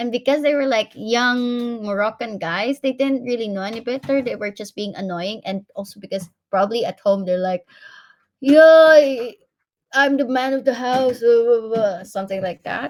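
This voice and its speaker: A woman with a Filipino accent speaks at a moderate pace in a fairly high pitch with ordinary pitch variation. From Philippines. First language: Tagalog. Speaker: interviewee, professional living abroad. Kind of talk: interview.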